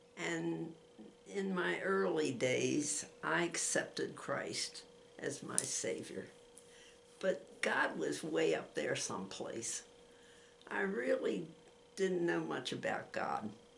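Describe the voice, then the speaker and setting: A woman talks at a very slow pace with long, frequent pauses, and the room echo is audible. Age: 90s. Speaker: grandmother giving faith testimony. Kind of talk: testimony. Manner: halting.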